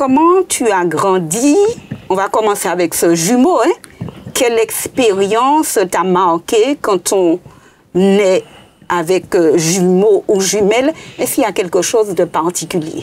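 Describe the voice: At a fairly slow pace with few pauses, a woman of medium pitch speaks in a slightly mellow tone with lively intonation.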